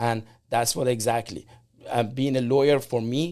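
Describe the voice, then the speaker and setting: In an Iranian accent, a man speaks at medium pitch and a moderate pace. The recording is very clean with a silent background. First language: Persian. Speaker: immigrant entrepreneur and business owner. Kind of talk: casual interview.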